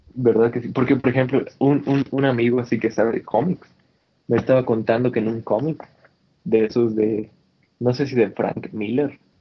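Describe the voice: This man speaks at a moderate pace with a medium pitch and a slightly husky edge. His intonation is fairly even.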